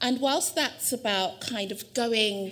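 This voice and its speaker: A woman in a London accent, fairly slow and with lively intonation, amid audible room echo. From South London. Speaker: university administrator giving a lecture. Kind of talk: lecture.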